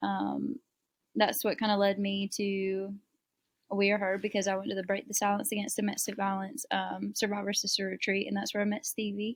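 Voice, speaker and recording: A woman with a Southern US accent talks at a fairly quick pace, her medium pitch held in fairly even intonation. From US South, South Carolina. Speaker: abuse survivor and nonprofit founder. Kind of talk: interview.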